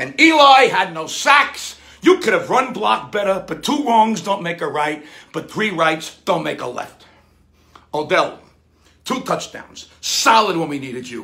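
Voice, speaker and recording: The voice is raised and projected, moving at a fairly slow pace. Its pitch swings very widely. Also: man. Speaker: sports fan commentator. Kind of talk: comedic sports rant. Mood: exasperated comedic rant. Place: studio.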